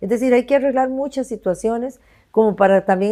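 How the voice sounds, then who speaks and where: A woman's dark, mellow voice with ordinary pitch variation comes through on a very clean recording with a silent background. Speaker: presidential candidate. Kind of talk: interview. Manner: halting.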